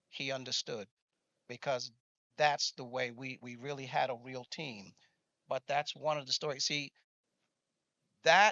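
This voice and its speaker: A man talks at a moderate pace. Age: 60s. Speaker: business executive, conference panelist. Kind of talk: panel discussion storytelling.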